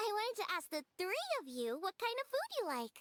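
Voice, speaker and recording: A woman performs a squeaky put-on character voice at an extremely high pitch, with very wide pitch swings. Her loudness stays very even and her pace is moderate. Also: dry, close sound with no echo. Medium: video game. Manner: bubbly, energetic.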